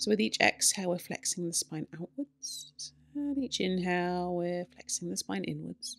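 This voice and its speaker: A woman's fairly low-pitched voice with very wide pitch swings. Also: moderate pace. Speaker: yoga teacher. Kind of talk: guided yoga instruction. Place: home room.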